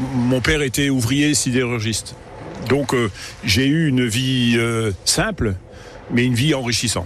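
Loudness stays very even as the speaker goes fairly slowly with long, frequent pauses and ordinary pitch variation, over noticeable background noise. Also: man, medium pitch for a man. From Lorraine, Moselle (Yutz). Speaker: local politician. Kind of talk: radio interview. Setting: on a boat.

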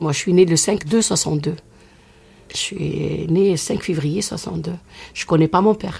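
Very slowly and with long, frequent pauses, a woman speaks in a fairly low, dark, mellow voice with vocal fry and fairly even intonation. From Oran, Algeria. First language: Algerian Arabic (speaking French). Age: 60s. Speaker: rai singer. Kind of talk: interview.

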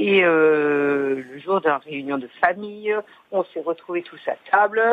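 A woman's lively intonation at a fairly slow pace. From southern France (Hérault). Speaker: caller. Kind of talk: casual chat. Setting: phone call.

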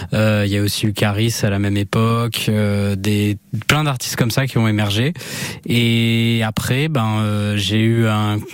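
Over noticeable background noise, a man speaks at a fairly slow pace with a fairly low pitch. His intonation is fairly even and his loudness very even. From Basque Country, France (Anglet). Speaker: music journalist. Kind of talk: radio interview.

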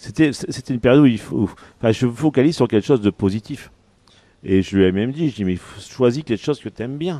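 A man talks very fast at a medium pitch, with lively intonation and a dark, mellow tone. He leaves long, frequent pauses, and the sound is dry and close with no echo. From northern France, Pas-de-Calais (Arras). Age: 50s. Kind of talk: radio interview. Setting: on location at his hotel-restaurant. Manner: halting, many repetitions.

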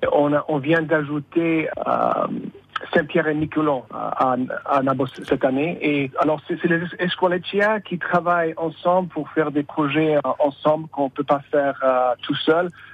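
The speech is very slow, with fairly even intonation. Noticeable background noise is present. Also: man, fairly high pitch for a man. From US, San Francisco. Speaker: Basque community member. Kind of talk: radio interview. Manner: halting, repeats words.

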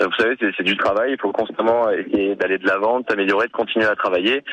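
Noticeable background noise sits under a man talking at a fairly quick pace. His medium pitch shows ordinary variation, and the sound is dry and close with no echo. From Nice, France. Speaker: musician, band co-founder. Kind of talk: radio interview.

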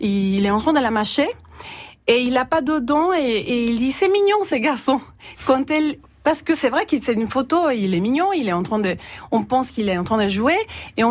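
A woman's high-pitched voice with a Salvadoran accent, very wide pitch swings and a moderate pace. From El Salvador. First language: Spanish (speaking French). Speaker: university teaching adviser. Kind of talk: radio interview. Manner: halting.

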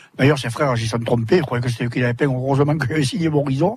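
Somewhat breathy, a man speaks with a fairly high pitch and ordinary pitch variation. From southern France, Sète. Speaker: retired water jouster and painter. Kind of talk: live radio interview. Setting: outdoor broadcast in a fishermen's hut.

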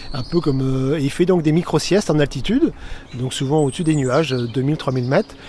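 A man with a normal speaking voice, fairly high in pitch, at a moderate pace with ordinary pitch variation. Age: 50s. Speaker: naturalist. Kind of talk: casual interview.

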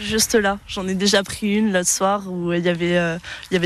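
A woman's medium-pitched voice keeps to monotone, flat intonation while moving at a moderate pace. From southern France, Nice. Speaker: passer-by interviewed in street. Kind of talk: street interview. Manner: hesitant.

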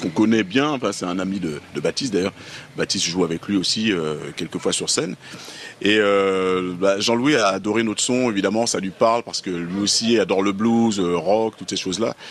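Over noticeable background noise, a man with a fairly low pitch and ordinary pitch variation talks at a moderate pace. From Paris region, Guadeloupean family. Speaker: musician. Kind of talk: interview.

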